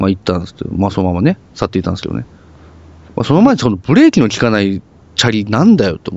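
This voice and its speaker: Speaking at a very fast pace, a man with a fairly low pitch makes big swings in loudness. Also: lively intonation. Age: 30s. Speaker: podcast co-host. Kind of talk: casual chat.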